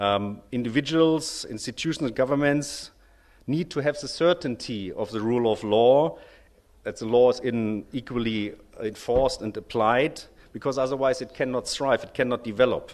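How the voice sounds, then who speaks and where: A man with a German accent speaks at a moderate pace and medium pitch, with ordinary pitch variation. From Germany. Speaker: lawyer, bar association representative. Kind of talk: conference speech. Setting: conference stage with audience. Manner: formal, with frequent hesitations.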